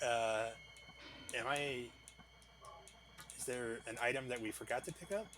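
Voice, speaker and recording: Music plays in the background as a man speaks at a moderate pace. He leaves long, frequent pauses. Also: medium pitch for a man, ordinary pitch variation. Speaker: gaming streamer. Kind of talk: live gameplay stream chat. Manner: casual, chatty.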